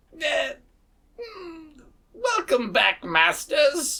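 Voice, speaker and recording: A put-on character voice sits at an extremely high pitch. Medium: actual play. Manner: hesitant, stammering.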